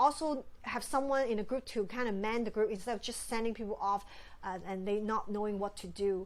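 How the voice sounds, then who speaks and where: Here is a woman with a plain, everyday voice, pitched fairly high. The recording is very clean with a silent background. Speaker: ministry facilitation trainer. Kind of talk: training lecture.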